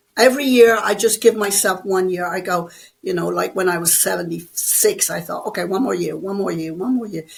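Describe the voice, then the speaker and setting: A woman speaks at a fairly quick pace with a medium pitch. Vocal fry runs through her voice. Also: ordinary pitch variation. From Ireland. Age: 80s+. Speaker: bodybuilder and personal trainer. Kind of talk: interview.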